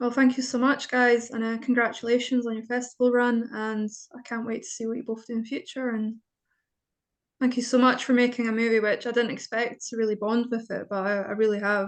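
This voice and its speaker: With a Scottish accent, a woman speaks at a fairly quick pace and a high pitch. Her intonation is monotone and flat, over a quiet background. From Scotland. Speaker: interviewer, writer. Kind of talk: interview. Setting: video call.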